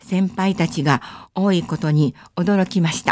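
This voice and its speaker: The background is silent, in a very clean recording. A woman's words come out very slowly. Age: 70s. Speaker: travel journalist and lecturer. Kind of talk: radio lecture. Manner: formal, polite.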